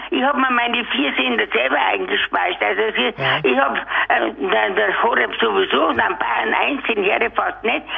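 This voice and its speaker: A woman speaks at a moderate pace with hardly any pauses and very even loudness. Noticeable background noise runs underneath. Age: 80s+. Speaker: caller. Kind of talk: casual chat.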